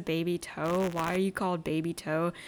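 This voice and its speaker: A woman uses an ordinary speaking voice at medium pitch and a moderate pace. The recording is very clean, with a silent background. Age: 20s. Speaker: solo podcast host. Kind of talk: casual monologue. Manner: casual, crude and rambling.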